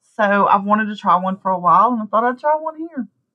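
A woman speaks with a Southern US accent. Her pitch swings very widely. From US South. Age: 40s. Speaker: blogger and new podcaster. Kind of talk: casual chat, podcast intro. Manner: casual, filler-heavy.

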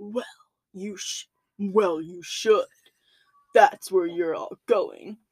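In a put-on character voice, a female-sounding speaker with a medium pitch uses a menacing tone, moving at a very slow pace with long, frequent pauses. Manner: satanic, menacing.

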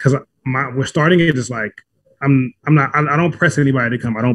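Speaking at a fairly quick pace, a man holds a medium pitch. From South Central Los Angeles, US. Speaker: run club founder, community leader. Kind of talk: casual interview. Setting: studio.

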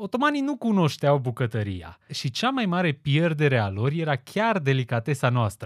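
In a very clean recording with a silent background and a dry, close sound with no echo, a man speaks at a moderate pace in a fairly high, somewhat breathy voice with very wide pitch swings. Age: 20s. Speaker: podcast host. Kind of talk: scripted monologue. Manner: formal.

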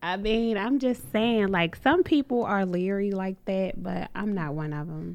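This woman has an ordinary speaking voice with a medium pitch and lively intonation. She moves at a fairly slow pace with hardly any pauses. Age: 20s. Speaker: podcast host guest.

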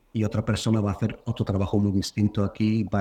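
A man's fairly low, dark and mellow voice at a fairly quick pace. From Bulgaria. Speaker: sound artist. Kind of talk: interview.

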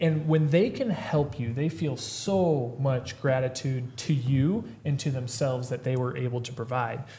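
A man with an American accent speaks at a fairly slow pace and a medium pitch, with ordinary pitch variation and hardly any pauses, over noticeable background noise. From Missouri, rural US Midwest. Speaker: health practitioner podcast host. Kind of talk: casual chat. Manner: energetic, motivational.

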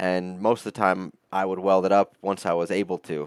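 At a moderate pace, a man with an American accent and a very deep, low pitch speaks with fairly even intonation, in a dry, close sound with no echo on a very clean recording with a silent background. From upstate New York. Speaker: metal artist. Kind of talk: interview.

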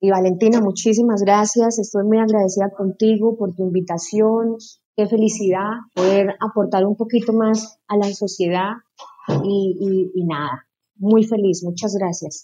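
A woman speaks in an unremarkable speaking voice at medium pitch. Her pace is fairly slow and her intonation fairly even. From Colombia, Casanare (Llanos). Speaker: LGBT content creator. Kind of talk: interview conversation.

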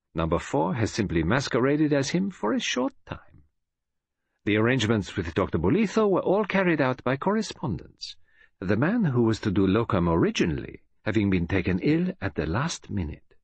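A man speaks at a moderate pace in a somewhat breathy voice, his pitch swinging very widely, over a quiet background. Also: medium pitch for a man. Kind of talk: audiobook reading, literary narration. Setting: audiobook recording. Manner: measured, formal British storyteller pace.

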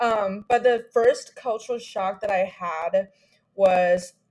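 A woman speaks at a very slow pace. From China. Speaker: college student. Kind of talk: casual chat.

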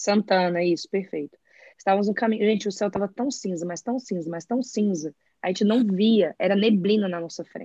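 The voice is somewhat breathy, with a dark, mellow tone. The sound is dry and close, with no echo. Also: woman, medium pitch for a woman, ordinary pitch variation, fairly quick pace. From Brazil, Brasília. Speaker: architect and graphic designer. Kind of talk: casual chat.

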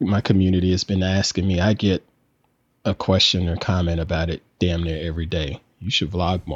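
A man with an American accent talks at a moderate pace in a very deep, low voice. The sound is dry and close with no echo, over a quiet background. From US South. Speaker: photographer and content creator. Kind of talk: casual chat.

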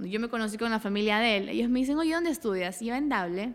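Speaking at a very fast pace, a woman uses an animated tone and fairly high pitch. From Ecuador, Daule (rural Guayas coast). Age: 20s. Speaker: entrepreneur. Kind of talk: interview.

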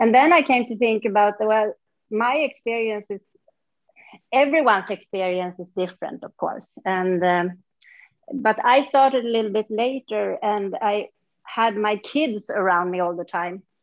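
At a moderate pace, a woman with a Swedish accent speaks at a fairly high pitch with ordinary pitch variation. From central Sweden. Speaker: yoga practitioner. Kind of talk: interview. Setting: remote call from a hotel conference room.

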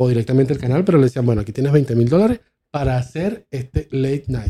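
With a dark, mellow tone, a man of fairly high pitch talks at a very fast pace with lively intonation. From Venezuela, Maracay. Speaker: podcast host. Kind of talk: casual chat.

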